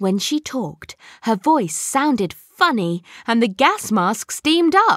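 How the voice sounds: Someone reads aloud. The reading voice sounds natural.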